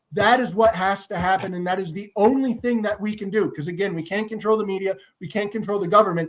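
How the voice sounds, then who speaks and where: Loud and animated, a man shouts at a very fast pace and high pitch, with hardly any pauses. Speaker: political streamer host. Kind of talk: political rant with caller. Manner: loud, yelling.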